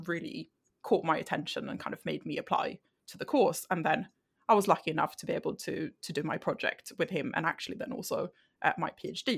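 A woman with a Swedish accent. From Sweden. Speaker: health psychology researcher. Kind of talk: interview. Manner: halting.

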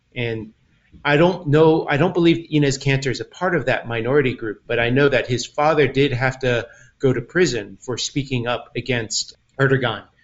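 A somewhat breathy man with an American accent, medium in pitch. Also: ordinary pitch variation, moderate pace. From US, Taiwanese American. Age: 50s. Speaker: community organizer. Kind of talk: casual chat. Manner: halting.

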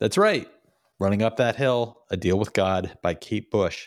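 Here a man is speaking. He keeps a moderate pace. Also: very clean recording, silent background. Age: 50s. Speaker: podcast host and author. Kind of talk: casual chat.

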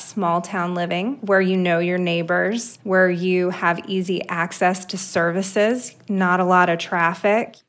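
Here a woman has an ordinary speaking voice, medium in pitch with fairly even intonation. She talks at a fairly slow pace with hardly any pauses. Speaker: town housing official. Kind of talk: interview.

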